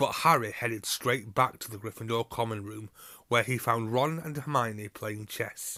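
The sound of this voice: The pitch rises and falls in an ordinary way. It is an unforced reading voice.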